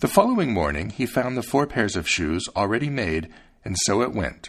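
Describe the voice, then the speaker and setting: Fairly quick, fairly low-pitched male speech with very wide pitch swings, captured on a very clean recording against a silent background. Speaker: podcast host reading fairy tales aloud. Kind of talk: scripted fairy-tale narration, storybook reading aloud. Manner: measured, storyteller's pace, gently expressive.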